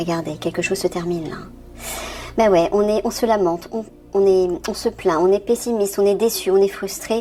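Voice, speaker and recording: A woman talks at a medium pitch with ordinary pitch variation. Her speech has long, frequent pauses over noticeable background noise. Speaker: tarot reader. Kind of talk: tarot reading. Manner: fast; halting.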